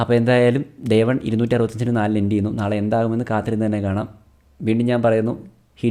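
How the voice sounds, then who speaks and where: A man speaks with a dark, mellow tone and monotone, flat intonation. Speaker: cricket YouTuber. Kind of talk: solo match-review vlog.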